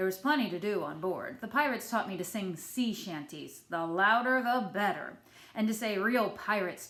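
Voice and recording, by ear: The speaker is reading aloud in a natural voice with ordinary pitch variation.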